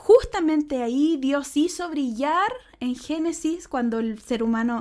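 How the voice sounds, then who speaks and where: A woman with a high pitch and lively intonation, speaking at a fairly slow pace. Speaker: church speaker. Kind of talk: sermon.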